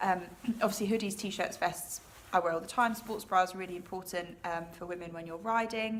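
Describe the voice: A woman speaks at a fairly quick pace. Her pitch is fairly low, and her intonation fairly even.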